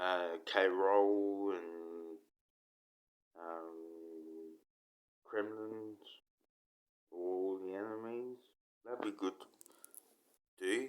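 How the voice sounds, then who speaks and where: A man with an Australian accent and a fairly low pitch, very slow pace, fairly even intonation, and long, frequent pauses. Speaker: gaming YouTuber. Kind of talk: casual monologue. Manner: halting.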